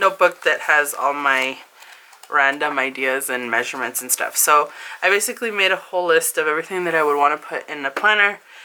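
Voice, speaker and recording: Her pitch is very deep and low for a woman, with ordinary variation. She speaks at a fairly quick pace over noticeable background noise. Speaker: planner vlogger. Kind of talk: casual tutorial. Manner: animated.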